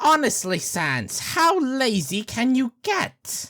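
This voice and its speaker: This put-on character voice moves at a very slow pace. Its pitch is fairly high, with very wide pitch swings. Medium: audio drama. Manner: loud, enthusiastic, theatrical.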